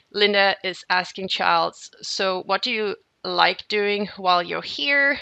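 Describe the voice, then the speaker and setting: A woman's bright, sharp voice with a German accent, fairly slow, with a dry, close sound and no echo. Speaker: software trainer. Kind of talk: software tutorial webinar. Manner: hesitant, with fillers and repeats.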